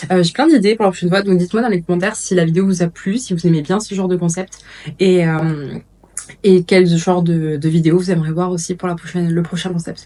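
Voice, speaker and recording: A woman talks at a fairly quick pace with fairly even intonation, against noticeable background noise. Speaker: lifestyle vlogger. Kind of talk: casual vlog. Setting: at home. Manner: hesitant; soft-spoken.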